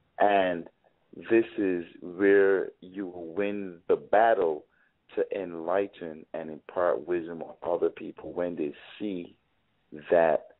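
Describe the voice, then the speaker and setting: A man speaks at a very slow pace with a very deep, low pitch. His intonation is fairly even, but his loudness swings a lot. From Caribbean island. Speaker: author. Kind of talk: interview. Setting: live broadcast.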